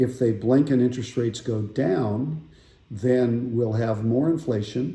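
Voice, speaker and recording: With audible room echo, a man at medium pitch speaks fairly slowly in a dark, mellow, somewhat breathy tone with ordinary pitch variation. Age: 60s. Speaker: financial advisor. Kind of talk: casual market update talk. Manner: conversational with filler words.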